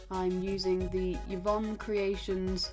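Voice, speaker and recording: Music plays in the background. A woman is speaking over it. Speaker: card maker and crafter. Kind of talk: craft tutorial voice-over.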